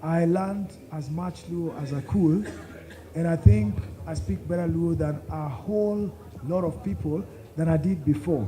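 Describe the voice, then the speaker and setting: A man speaks at a fairly high pitch, his voice swinging very widely up and down. He leaves long, frequent pauses over noticeable background noise. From Kenya, Luo from Nyakach. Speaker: storyteller and author. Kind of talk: fireside chat talk with audience. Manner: repetitive false starts.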